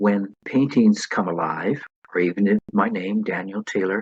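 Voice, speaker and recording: Dry and close with no echo, a man's voice moves at a moderate pace with lively intonation. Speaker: professional artist and painting instructor. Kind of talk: podcast interview. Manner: calm, soothing.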